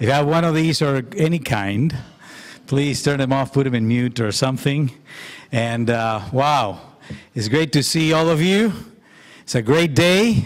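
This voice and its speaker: A man at a fairly slow pace. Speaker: conference host. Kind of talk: opening remarks to audience. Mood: cheerful, smiling. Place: church. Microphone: podium.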